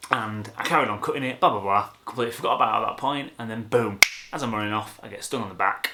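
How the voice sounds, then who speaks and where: A man speaks at a very fast pace with medium pitch over noticeable background noise. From Yorkshire, England. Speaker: photographer. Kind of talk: casual talk to camera.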